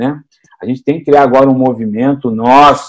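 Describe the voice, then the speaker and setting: A man with an unremarkable speaking voice, medium in pitch, at a fairly quick pace. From Rio de Janeiro, Brazil. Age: 50s. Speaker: city councillor and candidate. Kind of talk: interview.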